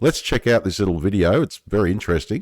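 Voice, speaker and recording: A very deep, low male voice with an Australian accent and lively intonation, on a very clean recording with a silent background. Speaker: science news youtuber. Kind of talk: casual commentary reading article aloud. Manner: conversational, reflective asides.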